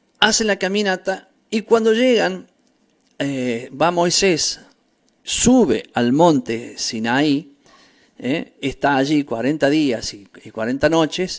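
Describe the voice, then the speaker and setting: A fairly high-pitched man talks at a very slow pace with long, frequent pauses and very wide pitch swings. The recording is very clean, with a silent background. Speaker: bible teacher. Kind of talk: religious teaching.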